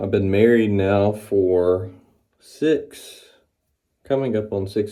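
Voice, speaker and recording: This man talks at a very slow pace in a Southern US accent, with fairly low pitch and ordinary pitch variation. His tone is dark and mellow, on a very clean recording with a silent background. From US South, Mississippi (Florence). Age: 30s. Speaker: barber and vlogger. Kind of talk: casual vlog monologue. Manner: rambling with many fillers.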